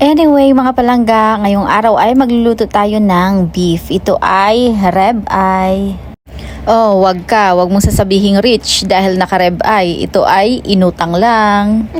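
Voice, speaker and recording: In a Western Visayas accent, the speaker talks at a fairly slow pace with very even loudness and ordinary pitch variation. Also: woman, medium pitch for a woman. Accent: Ilonggo. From Philippines, Western Visayas (Hiligaynon region). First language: Hiligaynon (speaking Tagalog). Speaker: cooking vlogger. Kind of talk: casual cooking vlog. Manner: halting, searching for words.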